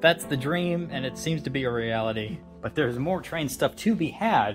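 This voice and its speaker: Clear music in the background, with speech at a moderate pace. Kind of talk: casual home tour narration. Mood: relaxed, amused. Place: home room. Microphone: phone near.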